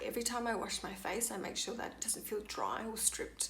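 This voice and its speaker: A fairly quick delivery amid noticeable background noise. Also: woman. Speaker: skincare vlogger. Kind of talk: casual talk to camera.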